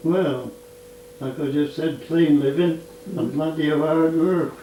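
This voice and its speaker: Fairly high for a man, this voice moves at a fairly slow pace. The intonation is fairly even, and there is noticeable background noise. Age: 80s+. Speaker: farmer. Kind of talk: interview answer.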